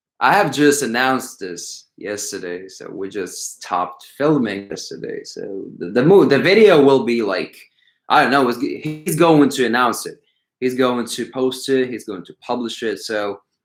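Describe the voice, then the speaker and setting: Over music in the background, a man talks at a fairly slow pace. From Ukraine. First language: not English. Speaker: calisthenics coach and YouTuber. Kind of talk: live stream Q&A chat.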